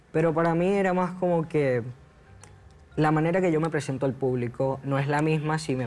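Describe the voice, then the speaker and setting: With fairly even intonation, a man's voice comes through at a fairly high pitch. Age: 20s. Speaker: transgender man sharing his story; talk show guest. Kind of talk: TV talk show interview. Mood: reflective, personal. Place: studio. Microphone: lapel.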